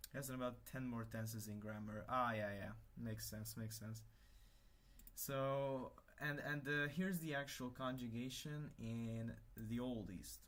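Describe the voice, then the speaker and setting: In a Hungarian accent, a man speaks at a fairly slow pace and a medium pitch with ordinary pitch variation, amid audible room echo. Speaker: livestreamer, language hobbyist. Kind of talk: casual livestream chat while working. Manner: halting, many fillers and restarts.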